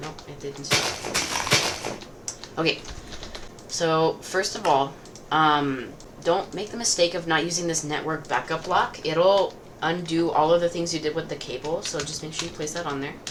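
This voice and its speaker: A woman with a fairly low pitch speaks at a moderate pace. Noticeable background noise is present. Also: fairly even intonation, big swings in loudness. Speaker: gaming youtuber. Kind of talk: tutorial. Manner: casual, many fillers.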